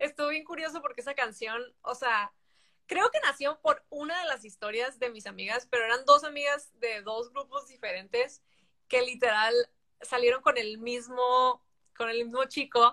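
A woman speaks at a moderate pace in a high voice with a bright, sharp tone. Her pitch varies in an ordinary way. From Mexico (Tijuana, border region). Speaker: singer-songwriter. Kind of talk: interview.

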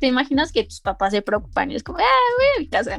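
Someone talks at a fairly quick pace with music playing in the background. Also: woman. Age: 20s. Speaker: university student. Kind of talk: casual chat. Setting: call. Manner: animated.

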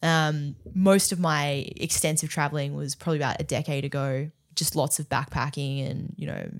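With an Australian accent, a woman with a very deep, low pitch talks at a moderate pace in fairly even intonation, on a very clean recording with a silent background. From Australia, Melbourne. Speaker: entrepreneur and brand building expert. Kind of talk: casual interview chat. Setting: studio.

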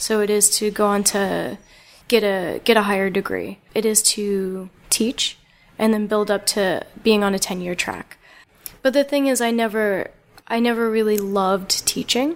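A woman with an American accent, a normal speaking voice, fairly even intonation and a moderate pace. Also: medium pitch for a woman. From New Jersey, Lawrenceville. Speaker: artist. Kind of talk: casual chat. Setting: artist's studio.

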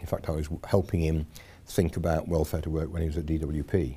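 A very deep, low-pitched man's voice with a slight Yorkshire accent, a dark, mellow tone and a fairly quick pace. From Yorkshire, Sheffield area. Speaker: nuclear industry association chairman. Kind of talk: casual interview.

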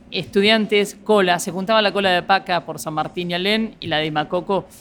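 Speaking at a moderate pace, a woman uses a fairly low voice with ordinary pitch variation. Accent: Argentine. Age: 50s. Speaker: nightclub and restaurant entrepreneur. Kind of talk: interview. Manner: halting.

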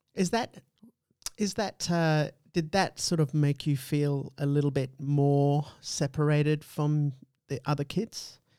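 A man with an Australian accent speaks in a fairly high voice with a dark, mellow tone and ordinary pitch variation, recorded very cleanly against a silent background. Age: middle-aged. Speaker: podcast host. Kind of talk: casual chat.

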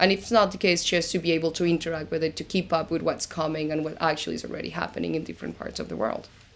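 A woman's fairly low voice at a very fast pace, with hardly any pauses and fairly even intonation. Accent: slight Argentine. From Argentina. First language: Spanish. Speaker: crypto lawyer. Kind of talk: interview.

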